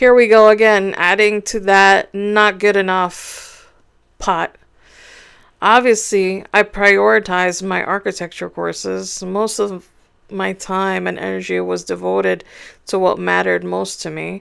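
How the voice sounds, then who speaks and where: In a very clean recording with a silent background, a woman speaks at a fairly slow pace. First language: not English. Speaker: author. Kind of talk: reading aloud.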